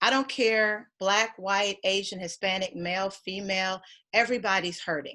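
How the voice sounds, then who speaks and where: A woman's medium-pitched, bright, sharp voice at a moderate pace, fairly even in intonation, on a very clean recording with a silent background. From Kentucky. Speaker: life coach and leadership speaker. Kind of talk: facilitated team discussion.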